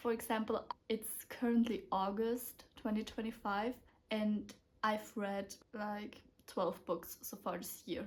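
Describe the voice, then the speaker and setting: A woman's somewhat breathy, fairly high-pitched voice at a very slow pace. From Austria. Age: 20s. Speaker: book YouTuber. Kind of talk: casual talk to camera. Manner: excited, gushing.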